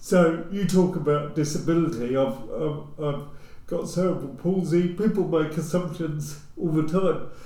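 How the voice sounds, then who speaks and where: A man with a southern English accent and a high pitch, fairly even in intonation and fairly slow in pace, amid noticeable background noise and audible room echo. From England, Luton. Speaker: social housing executive. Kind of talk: casual discussion.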